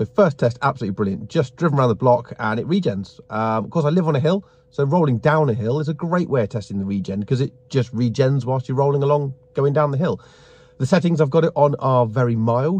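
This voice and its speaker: A man at a very fast pace, somewhat breathy, in a dry sound without echo. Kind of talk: casual vlog chat. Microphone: phone near.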